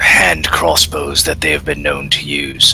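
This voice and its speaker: Over clear background noise, a man speaks fairly slowly in a put-on character voice. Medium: actual play.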